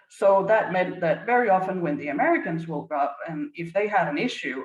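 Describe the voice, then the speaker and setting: A woman with a Danish accent talks fairly quickly at a medium pitch, her voice making very wide pitch swings. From Denmark. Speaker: business leadership consultant. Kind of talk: conference presentation.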